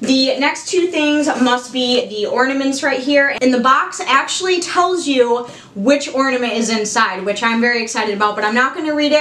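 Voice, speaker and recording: Woman with an American accent, high-pitched, moderate pace, hardly any pauses, audible room echo. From Michigan, US. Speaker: YouTuber. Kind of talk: unboxing video. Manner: animated. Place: home room.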